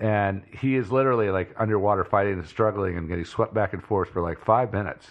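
A man talks very fast with hardly any pauses. His pitch is fairly low and his intonation fairly even. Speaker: co-host. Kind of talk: casual chat.

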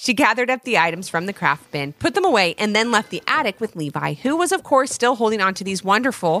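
It is a case of plain reading aloud.

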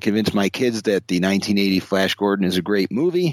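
A man with a plain, everyday voice speaks at a fairly low pitch and a moderate pace. The sound is dry and close, with no echo. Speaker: film podcast panelist. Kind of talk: casual chat.

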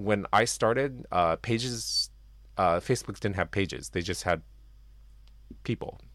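Vocal fry colors this man's delivery as his pitch swings very widely up and down. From Japan. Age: 40s. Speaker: game studio co-founder. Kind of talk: interview. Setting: home basement.

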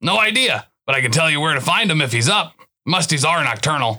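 Putting on a character voice, a man rattles along at a very fast pace in a raspy, fairly high pitch with very wide pitch swings. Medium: audio drama. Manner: thoughtful, musing, helpful.

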